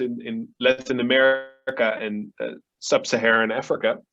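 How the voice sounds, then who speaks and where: A man with a Dutch accent speaks at medium pitch and a moderate pace. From Netherlands. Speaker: family office advisor, philanthropist. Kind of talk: panel discussion.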